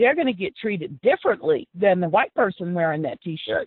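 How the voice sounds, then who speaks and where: A woman with a Texan accent. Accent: Texan American. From South Texas. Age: 60s. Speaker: former city council member, activist. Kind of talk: interview.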